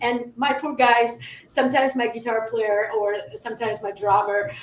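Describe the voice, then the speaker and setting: A woman with a fairly high pitch speaks at a moderate pace with fairly even intonation over noticeable background noise. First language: not English. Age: 30s. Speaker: metalcore musician. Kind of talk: casual interview chat. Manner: halting.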